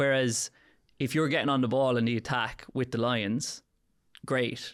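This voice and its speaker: Speaking with an Irish accent in a monotone, flat delivery, a man talks at a fairly slow pace and medium pitch in a very clean recording with a silent background. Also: very even loudness. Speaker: podcast host, sports coach. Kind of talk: podcast interview question.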